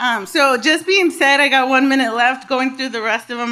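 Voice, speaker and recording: A woman speaks in a high pitch with an animated tone. Her pitch varies in an ordinary way. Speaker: panelist at a social work symposium. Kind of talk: panel talk. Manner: fast.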